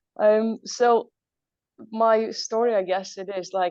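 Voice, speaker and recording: A woman speaks with ordinary pitch variation. The sound is dry and close with no echo, over a quiet background. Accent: Latvian. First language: Latvian. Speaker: entrepreneur. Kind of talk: motivational talk.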